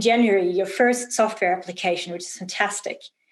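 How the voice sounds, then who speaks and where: The speaker is a woman with a German accent. Her pitch is fairly high, with ordinary variation. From Germany. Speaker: event host. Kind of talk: interview.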